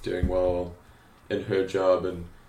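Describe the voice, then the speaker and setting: Audible room echo colors a man's very deep, low voice. He sounds somewhat breathy. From South Africa, Cape Town. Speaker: graphic designer and creative director. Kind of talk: interview conversation. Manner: hesitant, many fillers.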